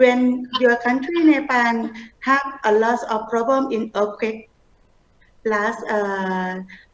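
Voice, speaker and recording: A woman with a Thai accent speaks very slowly at a fairly high pitch with ordinary pitch variation. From Thailand. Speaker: humanitarian organization leader. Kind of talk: interview. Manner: halting.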